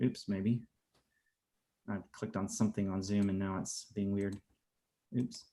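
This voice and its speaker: A man with an American accent speaks at a moderate pace, his fairly low voice dark and mellow in tone. His intonation is monotone and flat, broken by long, frequent pauses. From US South, Atlanta. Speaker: art teacher. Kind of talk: casual chat. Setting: video call.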